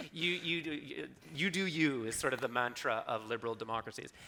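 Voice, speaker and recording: A man speaks with an American accent and a bright, sharp tone. His intonation is lively. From Canada. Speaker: political philosopher. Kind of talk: public talk panel discussion. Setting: stage with live audience. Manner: animated.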